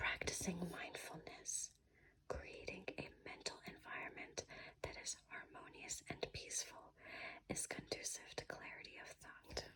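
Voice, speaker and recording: The voice is whispering at a fairly slow pace. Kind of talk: ASMR reading. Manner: whispered.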